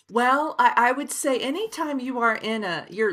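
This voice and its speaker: A woman speaks in a slight Oklahoma accent. Her tone is bright and sharp, and her pitch swings very widely. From Oklahoma, Osage County. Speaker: author. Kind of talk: interview. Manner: many fillers, hesitant.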